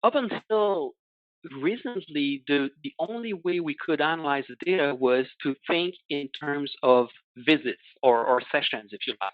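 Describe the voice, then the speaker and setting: A French accent at a fairly slow pace. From Quebec. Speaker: analytics consultant. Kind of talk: webinar presentation. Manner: halting, many fillers.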